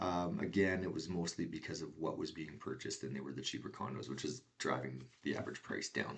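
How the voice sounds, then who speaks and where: With a Canadian accent, a man speaks at a fairly quick pace in a very deep, low pitch, using vocal fry and hardly any pauses. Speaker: real estate agent. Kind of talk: market update presentation. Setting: screen share recording. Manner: fast.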